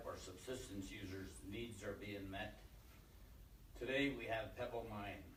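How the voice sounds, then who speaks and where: A man talks at a moderate pace in a fairly low pitch with ordinary pitch variation. Room echo is audible. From Alaska, Bristol Bay. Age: 60s. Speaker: community leader. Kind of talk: press conference statement.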